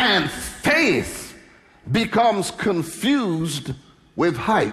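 Pitch swings very widely as the speaker moves at a very slow pace. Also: man, high pitch for a man. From London, England. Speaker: preacher, minister. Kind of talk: sermon preached to a congregation. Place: church. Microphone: headset.

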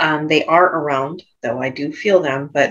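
A woman is talking. Her voice sits very deep and low. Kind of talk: describing a session, free talk. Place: home room. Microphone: earbuds.

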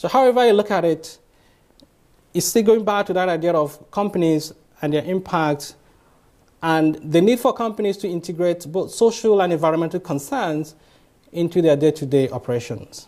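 A man speaks in a high voice, with long, frequent pauses. The background is quiet. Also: ordinary pitch variation, moderate pace. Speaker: lecturer. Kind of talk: lecture. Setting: stage with audience. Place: hall.

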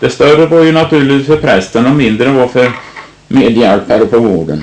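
A man speaks at a medium pitch with ordinary pitch variation, and noticeable background noise is present. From Tranås, Småland/Östergötland, Sweden. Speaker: local history storyteller, handyman. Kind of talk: casual storytelling about local history.

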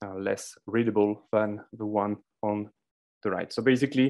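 A man talks at a moderate pace, with a quiet background behind him. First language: not English. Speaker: conference speaker on data visualization; conference presenter. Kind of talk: conference talk. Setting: virtual conference. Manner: halting, many fillers. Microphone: video call.

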